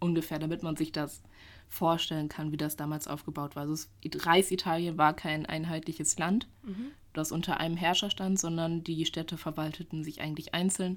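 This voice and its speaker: On a very clean recording with a silent background, a woman speaks at a moderate pace in a very deep, low, monotone, flat voice. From German village. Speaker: history student and podcast co-host. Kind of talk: casual storytelling chat.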